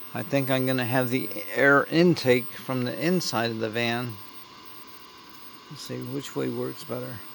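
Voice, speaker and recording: A man speaks at a medium pitch with ordinary pitch variation. His speech has long, frequent pauses over noticeable background noise. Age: 70s. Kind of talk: casual vlog talk while working on a project. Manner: rambling, thinking aloud.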